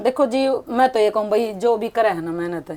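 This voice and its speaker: A woman with a Haryanvi accent, medium pitch and a dark, mellow tone, at a moderate pace with ordinary pitch variation. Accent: Haryanvi-accented Hindi. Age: 60s. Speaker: online clothing seller. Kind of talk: interview.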